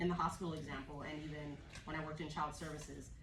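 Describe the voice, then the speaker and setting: Someone talks at a fairly quick pace in a room with audible echo and noticeable background noise. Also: woman. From US, Los Angeles area (moved from Jamaica at 4-5). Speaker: social worker and trainer. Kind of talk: training workshop talk. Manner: conversational, many fillers.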